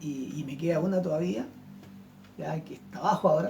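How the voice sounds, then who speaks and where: Music plays behind the voice. The speech moves fairly slowly. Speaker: pastor. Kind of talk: sermon.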